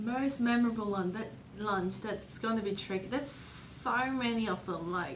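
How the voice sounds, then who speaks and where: The clip carries audible room echo along with noticeable background noise. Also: woman, fairly high pitch for a woman, ordinary pitch variation, moderate pace. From Hong Kong. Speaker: author. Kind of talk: interview.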